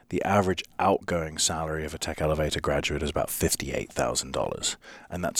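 Very deep and low in pitch, a man speaks in a very clean recording with a silent background. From London, England. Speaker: startup founder and coding bootcamp CEO. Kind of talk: interview conversation.

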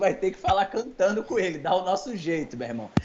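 An animated tone marks this man's high-pitched voice. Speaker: comedy podcast co-host. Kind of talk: casual chat. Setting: live stream.

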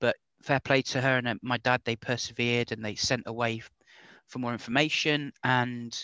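A man's medium-pitched voice in an English accent, bright and sharp in tone, flat and monotone, at a moderate pace, with a dry, close sound free of echo and a quiet background. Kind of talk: casual interview chat. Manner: controls a stammer with trained speech technique.

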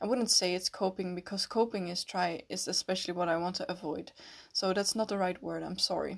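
A woman's medium-pitched voice with a Dutch accent, fairly quick pace, and fairly even intonation over a quiet background. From Netherlands. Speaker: podcast host. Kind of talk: personal reflective monologue. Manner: hesitant, many fillers.

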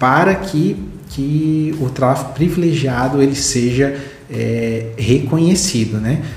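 A man talks at a fairly high pitch with ordinary pitch variation. Noticeable background noise and audible room echo are present. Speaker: legal educator explaining case law. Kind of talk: legal explainer video. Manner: halting, many repetitions and fillers.

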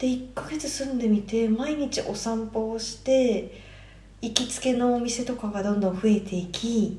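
Amid noticeable background noise and audible room echo, a woman talks at a fairly slow pace with a fairly high pitch and fairly even intonation. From Japan, Tokyo. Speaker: traveler. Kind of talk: casual chat.

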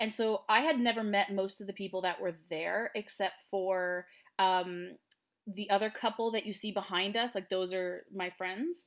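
With a Canadian accent, a woman talks at a moderate pace in a medium pitch, an unremarkable speaking voice with ordinary pitch variation. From Canada, Ottawa. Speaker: singer-songwriter. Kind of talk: casual interview.

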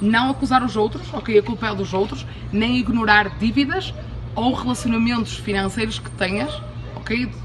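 A woman speaks at a moderate pace in an animated tone, with audible room echo and noticeable background noise. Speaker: podcast host, abundance coach. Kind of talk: motivational talk. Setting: outdoors, in Cuba.

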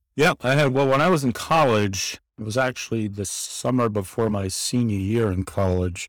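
A man with an American accent uses a normal speaking voice, talking at a fairly quick pace and fairly low pitch with hardly any pauses, in a very clean recording with a silent background. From New York City (Queens). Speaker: religious studies professor. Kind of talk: interview conversation.

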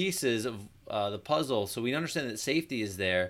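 A plain, everyday voice with lively intonation at a moderate pace, on a very clean recording with a silent background. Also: man. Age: 40s. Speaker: chiropractor and podcast host. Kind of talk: solo podcast talk.

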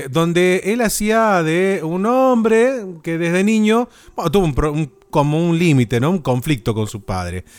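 A man with a high pitch talks at a fairly slow pace with hardly any pauses. His voice makes very wide pitch swings on a very clean recording with a silent background. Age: 30s. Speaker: podcast host. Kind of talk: casual chat.

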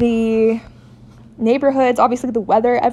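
Fairly quick and fairly high-pitched, a woman with an American accent speaks in a flat monotone. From US West Coast, San Diego. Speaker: podcast co-host. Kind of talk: casual solo monologue.

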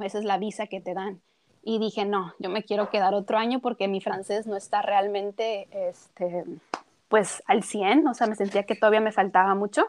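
A woman's unremarkable speaking voice at medium pitch, moderate in pace, with fairly even intonation against a quiet background. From Tijuana, northern Mexico. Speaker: cook and nutritionist. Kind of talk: casual interview.

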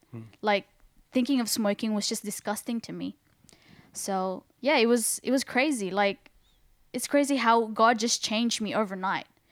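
On a very clean recording with a silent background, a woman with an Australian accent speaks at a moderate pace and a fairly high pitch with ordinary pitch variation. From Sydney, Australia. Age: 20s. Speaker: church member sharing testimony. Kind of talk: testimony.

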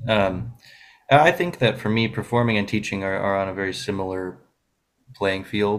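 At a moderate pace, a man with a fairly low pitch uses fairly even intonation in an ordinary speaking voice. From Buffalo, New York. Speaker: classical guitarist. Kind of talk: radio interview.

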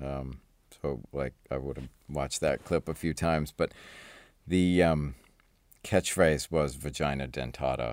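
With vocal fry and fairly even intonation, the speaker moves at a fairly slow pace through long, frequent pauses on a very clean recording with a silent background. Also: man, very deep, low pitch for a man. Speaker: visual effects supervisor. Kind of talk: casual chat.

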